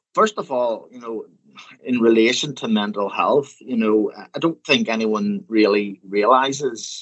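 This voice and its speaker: A man speaks in a Northern Irish accent. His intonation is lively. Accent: Northern Irish (Belfast). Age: 40s. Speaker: funeral director. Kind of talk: interview. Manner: halting, many fillers and repetitions.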